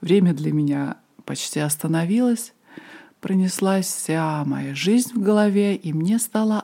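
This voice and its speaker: This woman's voice is fairly low with a dark, mellow tone. Her pitch varies in an ordinary way. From Moscow, Russia. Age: 40s. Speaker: podcast host, ayurveda and yoga teacher. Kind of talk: personal storytelling monologue.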